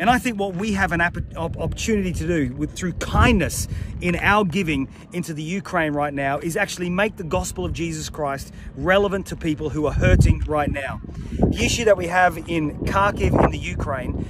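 Noticeable noise runs behind a man whose voice sounds dry, without any echo. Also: ordinary pitch variation, moderate pace. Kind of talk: appeal message to a congregation. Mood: earnest, persuasive. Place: open country. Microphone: phone near.

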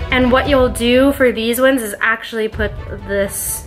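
Faint music sits in the background as a woman speaks at a fairly slow pace. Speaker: makeup vlogger. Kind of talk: tutorial. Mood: light, chatty. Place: home room. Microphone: phone near.

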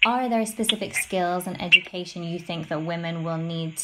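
A woman's fairly low voice with fairly even intonation at a moderate pace. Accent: British. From UK. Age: young. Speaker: reporter. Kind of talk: interview.

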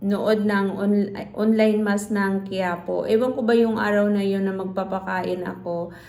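With audible room echo around her, a woman speaks at a moderate pace with medium pitch and fairly even intonation. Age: 50s. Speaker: vlogger and computer shop owner. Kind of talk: casual vlog talk. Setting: at home, partly outdoors in rain.

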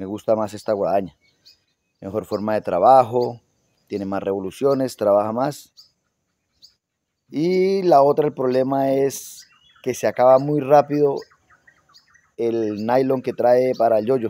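A man talks at a fairly slow pace with ordinary pitch variation and long, frequent pauses. The sound is dry, with no echo. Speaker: garden channel host. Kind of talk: casual tutorial chat. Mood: friendly, relaxed. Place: garden. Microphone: phone near.

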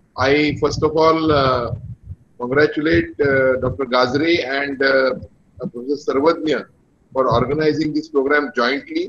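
The speech moves at a fairly slow pace with long, frequent pauses. Pitch variation is ordinary, and light background noise is present. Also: man. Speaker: guest professor. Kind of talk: formal welcome speech. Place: home room. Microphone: video call.

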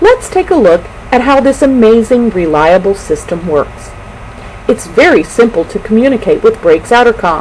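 Noticeable background noise sits behind a woman speaking at a moderate pace. Her fairly high pitch swings very widely. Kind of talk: mock commercial narration.

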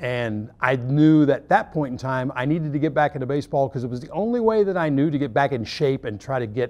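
An American accent carries a man's lively intonation at a fairly quick pace. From Oklahoma. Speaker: baseball umpire coordinator. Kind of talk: interview. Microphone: lapel.

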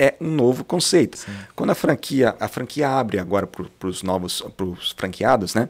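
Pitch leaps up and down very widely as a man talks. His speed stays moderate. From Londrina, northern Paraná, Brazil; Paraná, Brazil. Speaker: franchise business owner; podcast guest. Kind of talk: casual interview. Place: studio. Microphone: studio mic.

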